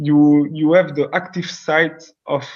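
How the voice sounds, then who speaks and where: A man with a fairly high pitch speaks in a monotone, flat intonation. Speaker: scientist. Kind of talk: Q&A after lecture. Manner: halting, many repetitions.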